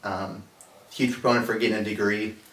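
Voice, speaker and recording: A man with an American accent talks at a fairly quick pace and a fairly low pitch in a flat monotone. Noticeable background noise and audible room echo fill the recording. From Napa Valley, California. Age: 20s. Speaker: college student. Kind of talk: interview.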